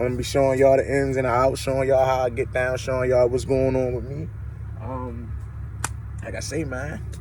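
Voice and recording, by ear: This man talks at a moderate pace in a medium pitch, with little pitch movement.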